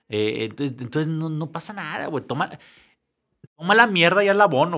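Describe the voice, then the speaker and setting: The speaker is a man with a fairly high pitch. His pitch swings very widely. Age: 50s. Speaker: entrepreneur and lighting designer. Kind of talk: casual interview chat.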